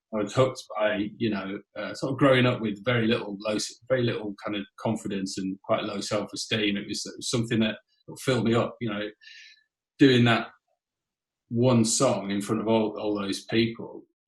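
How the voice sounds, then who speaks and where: A man talks with a Yorkshire accent and a somewhat breathy voice. His intonation stays monotone and flat. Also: medium pitch for a man, moderate pace. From northern England, Whitby (North Yorkshire). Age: 50s. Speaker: rock drummer. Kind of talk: interview. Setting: podcast.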